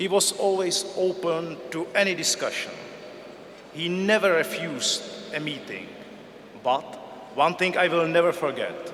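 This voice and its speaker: A high-pitched man at a fairly slow pace, with fairly even intonation and long, frequent pauses, amid audible room echo and noticeable background noise. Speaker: intelligence service director. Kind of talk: tribute speech. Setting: gala dinner hall.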